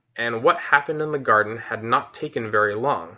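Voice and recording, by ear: Natural-voiced reading aloud, its pitch varying in an ordinary way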